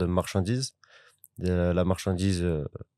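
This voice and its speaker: A man speaks with a very deep, low pitch and a dark, mellow tone. The recording is very clean, with a silent background and a dry, close sound with no echo. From southeastern France. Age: 20s. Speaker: courier. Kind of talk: interview. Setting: studio.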